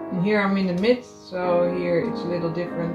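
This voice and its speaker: A woman speaks at a moderate pace while clear music can be heard behind her. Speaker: fashion designer. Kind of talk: casual talk while sewing. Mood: calm, focused. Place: home room. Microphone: phone near.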